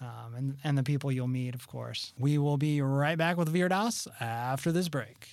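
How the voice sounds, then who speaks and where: A man's normal speaking voice, fairly high in pitch, with ordinary pitch variation, a moderate pace and hardly any pauses. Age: 30s. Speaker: podcast host. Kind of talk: casual chat. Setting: studio.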